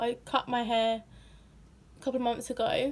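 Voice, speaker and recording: Speaking at a moderate pace, a woman with a British accent uses a high pitch. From Britain. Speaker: vlogger. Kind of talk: casual Q&A vlog. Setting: at home in her room.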